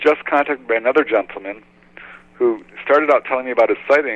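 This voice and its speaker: Talking very fast, a man with an American accent uses a fairly high pitch. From Southern California. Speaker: UFO researcher and author. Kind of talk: interview.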